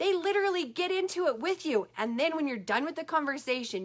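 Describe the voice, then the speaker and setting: A woman's fairly quick delivery with very wide pitch swings. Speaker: life coach livestreamer. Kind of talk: Facebook live talk. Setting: Facebook live video. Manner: fast.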